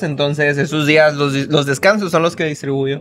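This man has a fairly high pitch. He talks at a fairly slow pace. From Hermosillo, Sonora, Mexico; Sonora, Mexico. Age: 30s. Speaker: food content creator. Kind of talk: casual chat. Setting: restaurant. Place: cafe. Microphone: studio mic.

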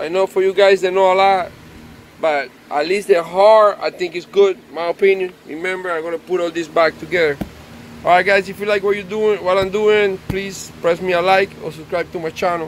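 A man with a high pitch and monotone, flat intonation talks at a moderate pace in a dry sound with no echo, with light background noise. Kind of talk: casual repair vlog commentary. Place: garden. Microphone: phone near.

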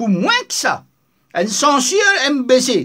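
Over a quiet background, a man speaks in a bright, sharp tone. His pitch swings very widely. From Mauritius. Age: 70s. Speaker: online political commentator. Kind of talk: video commentary monologue. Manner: animated. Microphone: phone near.

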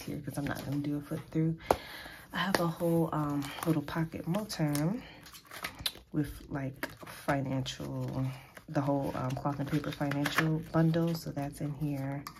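With noticeable background noise behind her, a woman speaks at a moderate pace in a very deep, low pitch and a monotone, flat intonation. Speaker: planner vlogger. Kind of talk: casual talk to camera. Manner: hesitant, many filler ums. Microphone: phone near.

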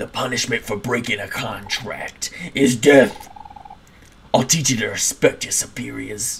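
Raspy put-on character voice from a man, medium in pitch, moving at a moderate pace. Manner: threatening, domineering.

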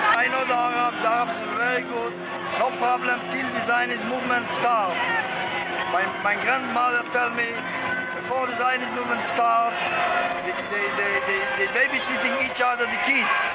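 Loud background noise sits under the recording. A man speaks at a moderate pace. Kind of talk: interview answer. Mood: earnest, insistent. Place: street. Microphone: phone near.

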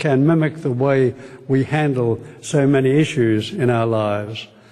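Against a quiet background, a man with a dark, mellow tone speaks with ordinary pitch variation. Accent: Australian. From Australia. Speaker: retired medical professor. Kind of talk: formal vote of thanks speech. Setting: stage with live audience. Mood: warm, smiling, appreciative. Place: hall. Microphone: podium.

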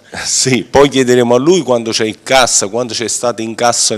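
Monotone and flat in intonation, a man delivers his words at a moderate pace. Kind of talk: interview answer. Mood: assertive, defending record. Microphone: handheld.

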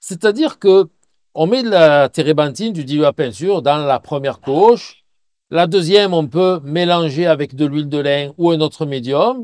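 Here a man talks at a moderate pace with lively intonation and a fairly high pitch. The sound is dry and close, with no echo. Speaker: painting teacher. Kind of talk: Q&A tutorial. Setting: outdoors by a river. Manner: loud; hesitant, many fillers.

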